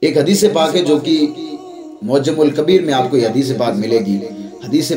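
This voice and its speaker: A man's fairly high-pitched voice is heard with music playing in the background. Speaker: Islamic preacher giving a sermon. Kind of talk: religious sermon (bayyan) addressed to the audience. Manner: earnest, emotional, explanatory.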